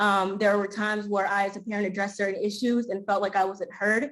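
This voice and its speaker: A woman's fairly high voice with a Spanish accent. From Maine. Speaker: school committee candidate. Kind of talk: candidate forum speech.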